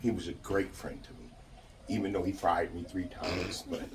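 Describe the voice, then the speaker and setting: A man with an American accent talking fairly quickly, amid noticeable background noise and audible room echo. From New York. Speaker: mourner giving eulogy, construction worker. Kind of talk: eulogy speech. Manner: loud. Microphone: speaking without a microphone.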